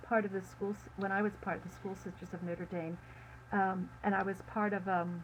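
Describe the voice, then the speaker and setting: This is a woman's voice at a medium pitch. It sounds somewhat breathy. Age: 70s. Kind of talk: interview. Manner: halting.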